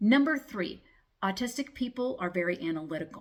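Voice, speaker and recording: A woman talks at a moderate pace with lively intonation. Her voice is somewhat breathy. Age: 50s. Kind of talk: casual talk to camera. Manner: stuttering; hesitant with fillers.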